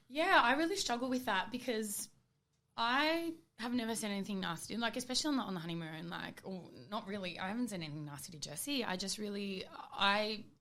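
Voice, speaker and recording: Loud and animated, a bright, sharp voice with an Australian accent swings very widely in pitch at a fairly quick pace, with audible room echo. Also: woman, fairly high pitch for a woman. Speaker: reality TV contestant. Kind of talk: casual chat. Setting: studio.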